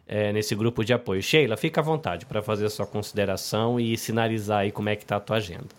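This man talks at a very fast pace with ordinary pitch variation. His pitch sits fairly low. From Brazil. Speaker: podcast host. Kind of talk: live podcast hosting. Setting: video call live stream. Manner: animated.

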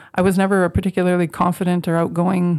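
A woman speaks with a Canadian Prairie accent. Her pitch sits fairly low and her pace is fairly quick. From Canadian prairies, Moose Jaw, Saskatchewan. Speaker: education professor and dean. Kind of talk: interview monologue.

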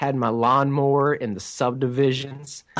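A man talks at a medium pitch. His pace is very slow. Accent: American. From United States. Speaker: inspirational speaker and author. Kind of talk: interview.

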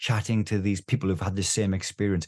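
A man races through his words at a very fast pace, sounding somewhat breathy. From northeast England. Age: 50s. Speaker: doctor and therapeutic gaming charity chairman. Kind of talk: interview.

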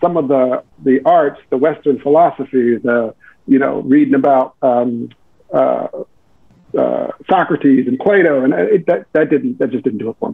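With long, frequent pauses, a man talks at a moderate pace in a fairly high pitch and lively intonation. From US South, Daytona Beach, Florida. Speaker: economics professor. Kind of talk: interview.

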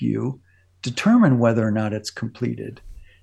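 Somewhat breathy, a man speaks with a dark, mellow tone. His intonation is lively and his pace moderate. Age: 70s. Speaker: spiritual teacher. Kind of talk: casual chat.

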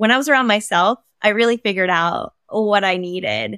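A woman with an American accent speaks at medium pitch in an unremarkable speaking voice. The recording is very clean with a silent background and a dry, close sound with no echo. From Maine, US. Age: 40s. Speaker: stylist and entrepreneur. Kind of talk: interview conversation.

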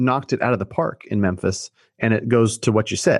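A man with an American accent has an ordinary speaking voice at medium pitch, with ordinary pitch variation and a fairly quick pace. The sound is dry and close with no echo, over a quiet background. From Sacramento, California. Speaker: mortgage broker and real estate investor. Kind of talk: casual interview.

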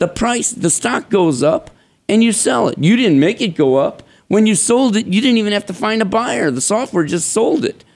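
Speaking with an American accent, a man uses a high pitch and very wide pitch swings. His pace is moderate. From Chicago. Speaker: stock trading software developer. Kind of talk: interview.

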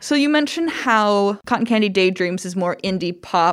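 A woman speaks with a plain, everyday voice, medium in pitch, with lively intonation at a moderate pace. The recording is very clean, with a silent background. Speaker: podcast host and university staff. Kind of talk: casual interview chat.

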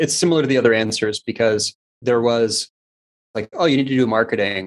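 A man with an unremarkable speaking voice talks at a fairly quick pace with fairly even intonation, the sound dry and close with no echo. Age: 40s. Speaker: digital agency co-founder. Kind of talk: interview.

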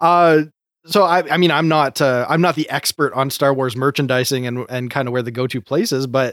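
In an ordinary speaking voice, a fairly high-pitched man talks at a fairly quick pace with ordinary pitch variation, the recording very clean, dry and close, with a silent background and no echo. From Canada. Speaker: co-host. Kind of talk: casual chat.

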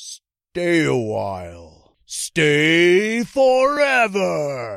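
Very slow pace and middle pitch in a put-on character voice. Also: hardly any pauses. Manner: eerie, drawn-out.

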